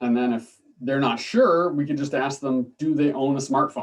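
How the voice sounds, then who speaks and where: A man speaks with a fairly high pitch. His pace is moderate and his intonation fairly even. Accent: slight Canadian. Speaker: political science professor. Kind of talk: lecture. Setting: video call. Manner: hesitant, many fillers.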